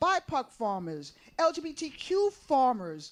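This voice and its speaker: With an American accent, a woman talks in a high voice. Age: 70s. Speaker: farmer and food justice activist. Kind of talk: panel conversation. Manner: repetitive, halting restarts; impassioned.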